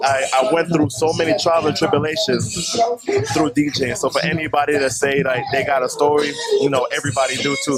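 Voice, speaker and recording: The man talks at a fairly quick pace in a fairly high voice, his loudness very even. Music plays in the background. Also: fairly even intonation. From New York, Brooklyn. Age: 20s. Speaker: DJ. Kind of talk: interview.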